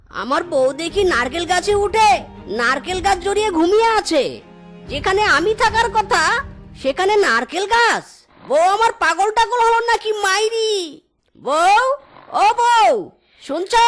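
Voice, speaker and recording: Faint music plays in the background as a cartoonish character voice speaks at a fairly slow pace. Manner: excitable, exclamatory.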